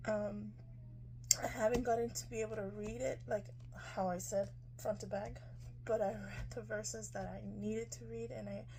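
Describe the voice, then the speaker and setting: Noticeable background noise and audible room echo, with long, frequent pauses. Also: woman, moderate pace. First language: Spanish. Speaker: lifestyle vlogger. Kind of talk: product review. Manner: casual, hesitant with fillers.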